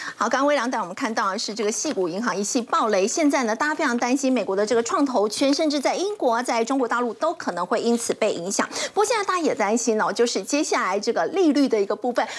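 The woman speaks at a very fast pace with hardly any pauses. Her pitch is high and her intonation lively. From Taiwan. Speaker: financial TV show host. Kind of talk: TV finance talk show moderation. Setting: TV studio. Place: studio. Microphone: lapel.

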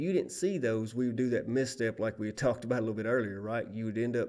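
Talking at a fairly quick pace, a man with a Southern US accent, a medium pitch, a dark, mellow tone and ordinary pitch variation comes through on a very clean recording with a silent background. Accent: Southern US accent, noted by himself. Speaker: safety instructor, former lineman. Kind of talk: training presentation. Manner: casual, folksy.

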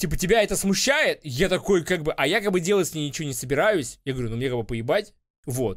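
Against a quiet background, a man speaks at a high pitch. His intonation is lively and his pace fairly quick. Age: 30s. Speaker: streamer reacting to a TV show. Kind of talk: casual reaction commentary. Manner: animated. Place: home room. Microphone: studio mic.

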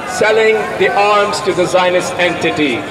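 A man speaking at a fairly slow pace over noticeable background noise. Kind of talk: rally speech, protest address to a crowd. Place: street.

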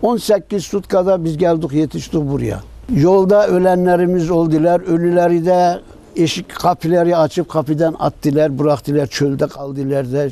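In a dry recording with no echo, a man speaks at a moderate pace with a high pitch and a dark, mellow tone. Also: ordinary pitch variation. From Ahiska (Meskhetian Turk). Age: old. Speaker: deportation survivor. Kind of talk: interview answer, personal testimony. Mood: sorrowful, grateful remembrance.

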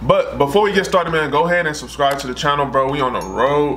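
Light background noise sits behind a man's voice. He speaks at a moderate pace with ordinary pitch variation. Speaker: reaction channel host. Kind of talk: casual vlog chat. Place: home room.

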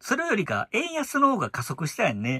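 A man with a bright, sharp tone makes very wide pitch swings, recorded in a dry, close sound with no echo. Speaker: YouTuber commentator. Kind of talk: casual monologue.

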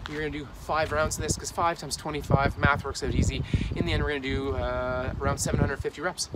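Amid loud background noise, a man speaks at a moderate pace in a dry sound with no echo. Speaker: home fitness vlogger. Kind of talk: casual workout tutorial. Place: street. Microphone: phone near.

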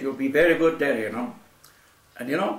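Audible room echo surrounds the voice of a man as he talks. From Spain. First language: Spanish. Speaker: Spanish Civil War veteran, anarchist. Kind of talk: casual chat. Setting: at home. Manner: halting. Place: kitchen. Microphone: camera far.

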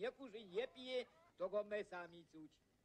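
The speaker talks at a fairly slow pace in a Podhale accent. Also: man. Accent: Podhale Goral dialect. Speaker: head shepherd. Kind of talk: acted dialogue in regional dialect. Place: open country.

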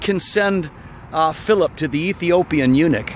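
A man speaks with lively intonation in a dry recording with no echo and light background noise. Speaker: preacher. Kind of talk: prayer and exhortation to viewers. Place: open country. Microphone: phone near.

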